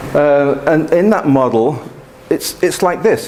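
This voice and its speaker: Speaking at a moderate pace, a man has a fairly high pitch with ordinary variation. Audible room echo and noticeable background noise fill the recording. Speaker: mathematics professor. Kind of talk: lecture.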